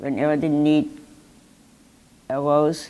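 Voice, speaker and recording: At a fairly slow pace, a woman talks in a very deep, low pitch with a dark, mellow tone. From Germany, small rural town. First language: German. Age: 80s+. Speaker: Holocaust survivor. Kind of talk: testimony to students. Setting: museum talk with audience. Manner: halting.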